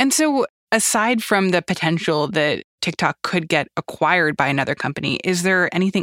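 A woman's fairly low voice, fairly quick in pace with ordinary pitch variation, an unremarkable speaking voice. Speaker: podcast host. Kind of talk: news podcast.

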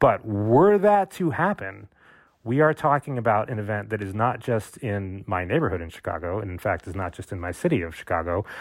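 A man with a plain, everyday voice and fairly low pitch speaks at a fairly quick pace with lively intonation. His loudness swings a lot, and the recording is very clean with a silent background. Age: 40s. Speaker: historian. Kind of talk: panel discussion.

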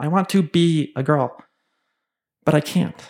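This man's pitch is fairly high, his intonation fairly even, and his tone nervous. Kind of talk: personal storytelling before a live audience, memoir-style. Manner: confessional, emotionally raw near the end.

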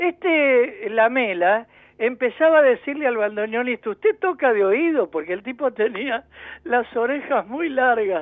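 A man speaks at a fairly slow pace in an extremely high pitch, his intonation lively. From Buenos Aires, Argentina. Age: 60s. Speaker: engineer and local historian. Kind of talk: radio interview.

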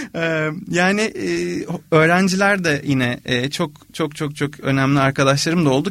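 This is a man speaking. His intonation is lively. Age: 30s. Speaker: composer. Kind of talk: interview conversation.

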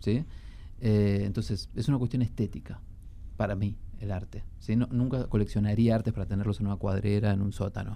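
Talking at a fairly quick pace, a man has a dark, mellow tone and a fairly low pitch. His intonation is fairly even, with long, frequent pauses. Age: 40s. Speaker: antiquarian bookseller and book collector. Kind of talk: radio interview.

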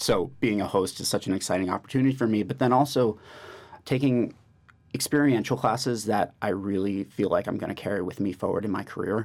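Speaking fairly quickly with an American accent, a man shows ordinary pitch variation. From New York. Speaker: MBA student, podcast co-host. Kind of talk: casual chat. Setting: studio.

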